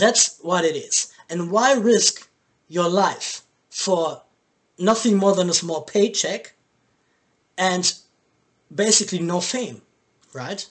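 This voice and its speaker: Speaking with a German accent, a man uses a high pitch with ordinary pitch variation. His pace is very slow, with long, frequent pauses. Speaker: boxing commentator, YouTuber. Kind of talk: video commentary. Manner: halting.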